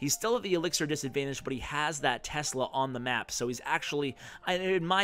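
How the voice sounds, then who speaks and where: This man's voice is fairly high, with ordinary pitch variation, and he talks at a fairly quick pace. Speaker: gaming commentator. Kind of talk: gameplay commentary. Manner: fast.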